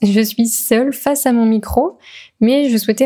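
A somewhat breathy, dark, mellow tone at a moderate pace, with ordinary pitch variation. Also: woman. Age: 20s. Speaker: podcast host. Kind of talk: solo podcast monologue. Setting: alone at a microphone.

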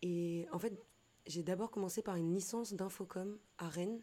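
Her tone dark and mellow, a woman speaks at a medium pitch and moderate pace with fairly even intonation. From western France, Nantes. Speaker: photographer and trainer. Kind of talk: casual chat. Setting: studio.

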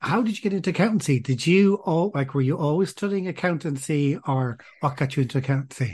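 Somewhat breathy and very fast, this voice has lively intonation and very even loudness, with hardly any pauses over a quiet background. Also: man, fairly high pitch for a man. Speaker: podcast host. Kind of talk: interview, scripted intro.

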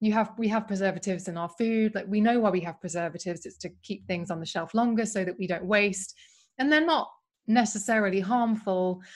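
Speaking with a British accent, a woman talks at a fairly quick pace. Her pitch is medium, with ordinary variation. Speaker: beauty writer and podcast host. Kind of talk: casual interview chat. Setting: video call. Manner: excited, enthusiastic.

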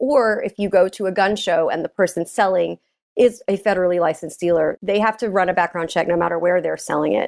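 A woman's medium-pitched voice with ordinary pitch variation comes through as an ordinary speaking voice on a very clean recording, silent in the background and dry and close with no echo. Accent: American. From Texas (Dallas area). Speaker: gun safety advocate. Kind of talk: interview.

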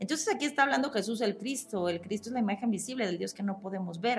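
A fairly high-pitched woman's voice with lively intonation over background music. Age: 40s. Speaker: podcast host, Bible teacher. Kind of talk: religious teaching monologue.

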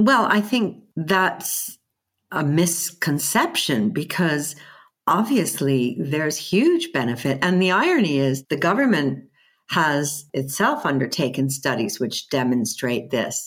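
A woman's very deep, low voice with an American accent, lively in intonation and very even in loudness, at a fairly slow pace on a very clean recording with a silent background. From US. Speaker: head of management institute. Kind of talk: interview.

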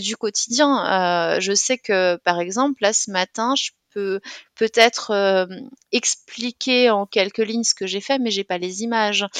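A woman speaks at a very slow pace with ordinary pitch variation, recorded dry and close with no echo. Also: quiet background. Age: 30s. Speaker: bank manager and author living with dissociative identity disorder. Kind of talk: interview testimony.

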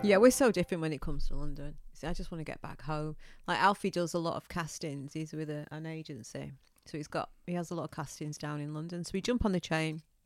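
Very deep and low, a woman's voice races at a very fast pace with big swings in loudness and ordinary pitch variation. The recording is very clean, with a silent background. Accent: northern English. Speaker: podcast co-host. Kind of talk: casual chat, podcast between spouses. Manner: feisty, teasing.

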